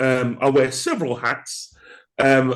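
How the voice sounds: A man's medium-pitched voice, slow and fairly even in intonation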